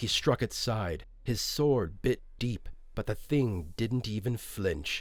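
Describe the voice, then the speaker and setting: With music in the background, a man speaks at a fairly slow pace with lively intonation. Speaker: fantasy audiobook narrator and creator. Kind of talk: fantasy audiobook narration.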